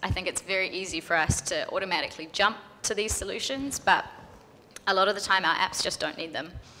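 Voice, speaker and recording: Speaking very fast is a woman. Noticeable background noise accompanies her. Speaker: software developer. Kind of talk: conference panel answers.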